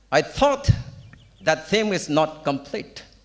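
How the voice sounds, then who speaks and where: Over noticeable background noise, a man talks at a very slow pace. His voice is high-pitched with very wide pitch swings. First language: Tangkhul. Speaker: preacher. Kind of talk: sermon. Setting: church. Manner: code-switching between Tangkhul and English.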